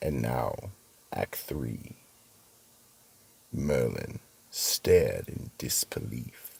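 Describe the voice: A man puts on a character voice with an extremely low pitch, a husky, rough edge, vocal fry and a slightly mellow tone. He talks at a very slow pace with lively intonation.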